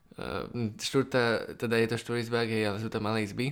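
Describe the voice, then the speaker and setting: A man with a plain, everyday voice, medium pitch and fairly quick pace, on a very clean recording with a silent background. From Slovakia, Bratislava. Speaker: podcast co-host, Java programmer. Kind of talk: casual chat.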